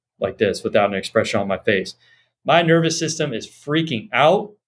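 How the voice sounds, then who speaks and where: A fairly high-pitched male voice with vocal fry and very wide pitch swings. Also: very clean recording, silent background. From Los Angeles, US. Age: 30s. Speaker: Ayurvedic doctor. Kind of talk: interview conversation.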